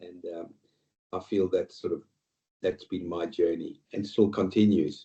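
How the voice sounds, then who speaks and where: A man with an Australian accent speaks at a fairly slow pace, leaving long, frequent pauses. His loudness swings widely. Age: 60s. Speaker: retail executive and board director. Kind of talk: interview podcast. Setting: video call. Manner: halting.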